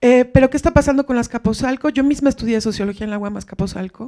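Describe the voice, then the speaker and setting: Over a quiet background, a woman talks at a fairly quick pace in a dark, mellow tone with ordinary pitch variation. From Mexico City. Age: 40s. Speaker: academic, audience member; audience member. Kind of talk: audience question. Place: hall.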